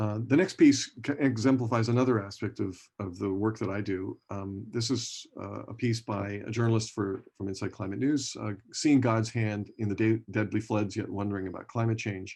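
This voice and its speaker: With a General American accent, a man speaks at a moderate pace in a fairly low pitch with ordinary pitch variation. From US West Coast, San Francisco Bay Area. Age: 60s. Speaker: professor. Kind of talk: lecture. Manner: halting, many fillers and restarts.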